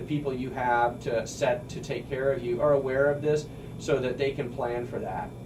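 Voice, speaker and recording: A man with a slight Missouri accent talks at a moderate pace in a fairly high pitch, his intonation fairly even, over noticeable background noise and audible room echo. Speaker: radio host and mortgage broker. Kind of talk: radio talk show explanation. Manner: casual, with frequent fillers and restarts.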